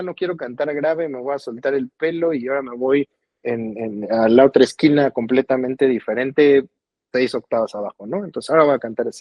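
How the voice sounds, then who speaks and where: This man has an unremarkable speaking voice, fairly high in pitch, moving at a fairly quick pace. His intonation is lively and his loudness swings widely. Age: 40s. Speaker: singer-songwriter. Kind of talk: interview conversation.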